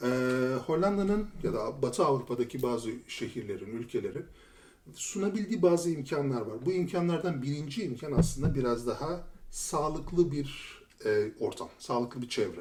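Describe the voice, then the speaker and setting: Here a man talks at a moderate pace with a fairly high pitch. His voice is somewhat breathy, and his intonation is lively. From Turkey, Istanbul. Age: 40s. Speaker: former lawyer turned IT tester. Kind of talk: podcast interview.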